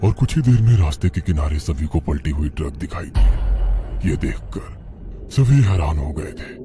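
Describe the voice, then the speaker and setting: Using a cartoonish character voice, a man speaks at a very deep, low pitch and a moderate pace over clear music in the background. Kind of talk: horror story narration.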